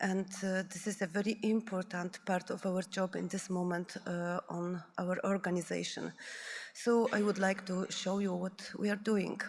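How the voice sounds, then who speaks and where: A woman with a non-native accent speaks at a moderate pace and medium pitch. Her intonation is monotone and flat. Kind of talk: conference presentation. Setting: conference room with audience. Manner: halting.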